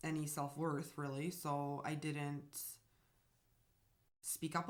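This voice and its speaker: A woman with a Bosnian accent speaks at a very deep, low pitch. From Bosnia, later Germany and US. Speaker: vlogger. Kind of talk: personal storytelling. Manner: hesitant, many fillers.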